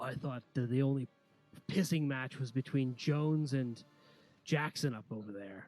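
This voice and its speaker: A man puts on a character voice at a medium pitch and moderate pace, with faint music in the background. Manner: gruff, sarcastic.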